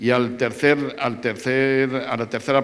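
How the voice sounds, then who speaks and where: A man speaks with a Madrid accent. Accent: central Spanish (Madrid). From Madrid, Spain. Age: 70s. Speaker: sports journalist. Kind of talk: public talk panel with audience. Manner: halting with repetitions.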